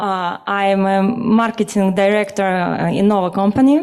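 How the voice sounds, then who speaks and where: Speech at a moderate pace, with ordinary pitch variation, carries audible room echo. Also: woman. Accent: Russian. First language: Russian. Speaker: marketing director. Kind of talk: conference presentation. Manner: halting.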